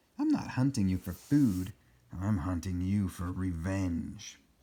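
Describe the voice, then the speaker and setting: A man's put-on character voice, growling and menacing in tone, very deep and low in pitch, at a fairly slow pace. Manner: growling, menacing.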